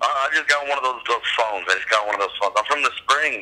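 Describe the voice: A man talks at a fast pace with medium pitch. His tone is bright and sharp, with ordinary pitch variation.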